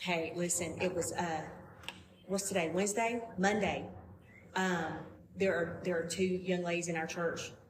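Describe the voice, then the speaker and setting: Amid noticeable background noise and audible room echo, a woman with a strong Southern US accent speaks at a fairly slow pace and fairly low pitch, keeping her loudness very even and leaving long, frequent pauses. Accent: thick Southern US. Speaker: podcast guest. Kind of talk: casual chat. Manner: animated.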